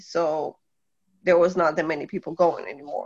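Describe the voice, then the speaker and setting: The speaker talks at a moderate pace in a Polish accent. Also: woman. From Poland. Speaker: guest. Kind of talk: casual chat.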